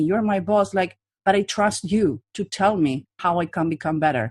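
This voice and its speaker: Over a quiet background, a woman speaks. Her pitch varies in an ordinary way. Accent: non-native. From Latin America. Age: 40s. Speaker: body language profiler and trainer. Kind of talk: interview. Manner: direct.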